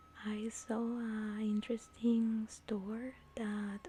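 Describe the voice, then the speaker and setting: A soft-spoken woman with a fairly high pitch. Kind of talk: soft-spoken ASMR vlog talking to camera. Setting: recorded while traveling in Beijing. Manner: soft-spoken, relaxing.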